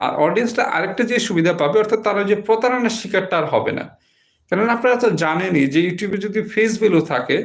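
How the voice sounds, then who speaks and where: High male voice, its pitch varying in an ordinary way. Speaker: YouTube tech channel host. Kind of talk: live stream talk.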